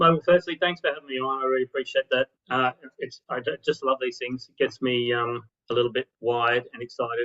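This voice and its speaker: With an Australian accent, a man at a medium pitch speaks at a fairly quick pace with fairly even intonation. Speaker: marketing consultant. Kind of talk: interview. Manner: fast.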